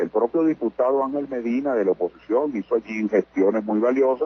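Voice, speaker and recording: A man talks at a moderate pace in a plain, everyday voice. His medium pitch shows ordinary variation. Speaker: politician interviewed on radio. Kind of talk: radio interview answer, political commentary. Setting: phone line.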